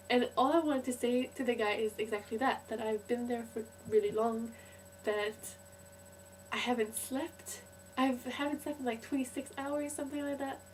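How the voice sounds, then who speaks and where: A woman at a moderate pace with fairly even intonation over noticeable background noise. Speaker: student in Scotland, travelled from Canada. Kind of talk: casual talk to camera.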